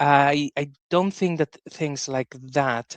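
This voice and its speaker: A man with a Spanish accent speaks at a fairly high pitch with fairly even intonation, the sound dry and close with no echo over a quiet background. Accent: Spanish accent, often heard as Italian. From Spain. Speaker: podcast host. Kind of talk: interview discussion.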